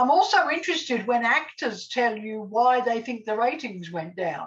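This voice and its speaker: A woman speaks at a moderate pace with an Australian accent. Her fairly high voice swings very widely in pitch. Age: 70s. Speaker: TV scriptwriter. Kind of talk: casual chat.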